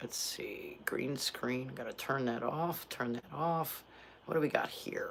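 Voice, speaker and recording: Noticeable background noise accompanies a woman who speaks very slowly. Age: 50s. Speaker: vlogger. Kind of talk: casual chat. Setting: live stream at home.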